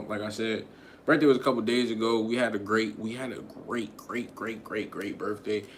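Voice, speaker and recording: The man talks very fast with monotone, flat intonation and a medium pitch. Audible room echo surrounds his voice. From Connecticut, US. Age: 20s. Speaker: podcaster / live streamer. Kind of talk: casual live stream chat. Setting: live stream. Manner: casual, rambling.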